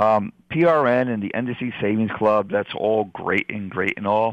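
A man with an ordinary speaking voice talks at a fairly slow pace, pitched fairly low with ordinary pitch variation. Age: 50s. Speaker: radio host. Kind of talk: casual chat.

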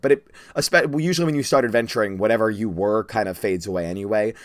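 A man with a fairly low pitch talks at a very fast pace, his intonation lively. The recording is very clean, with a silent background. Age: 20s. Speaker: podcast host and dungeon master. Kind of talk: casual teaching chat.

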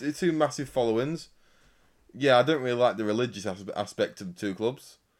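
A man speaks in a medium pitch with ordinary pitch variation, a normal speaking voice. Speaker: racing podcast co-host. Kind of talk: casual banter podcast. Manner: chatty, informal.

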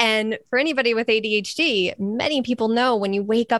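A woman speaks at a moderate pace in an animated tone and fairly high pitch. The sound is dry and close, with no echo. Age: 30s. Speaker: podcaster and weight loss advocate. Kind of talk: casual interview chat.

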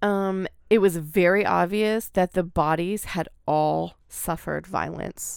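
Very clean and silent in the background, the recording features a woman with an American accent. Her pitch is fairly low and her pace very slow. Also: fairly even intonation. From Oregon, US. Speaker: podcast co-host. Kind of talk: storytelling.

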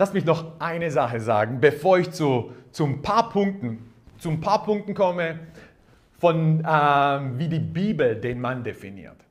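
A man with a fairly high pitch speaks at a fairly slow pace in an animated tone, his lively intonation carried over audible room echo. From Croatian background. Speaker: pastor. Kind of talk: sermon.

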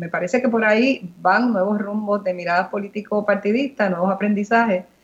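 A woman speaks at a moderate pace in a normal speaking voice, her pitch medium. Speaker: politician. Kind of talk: radio interview.

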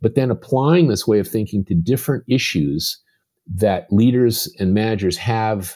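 In a very clean recording with a silent background, a man speaks at medium pitch with lively intonation and a dark, mellow tone. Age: 70s. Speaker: performance improvement consultant. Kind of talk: interview. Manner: halting.

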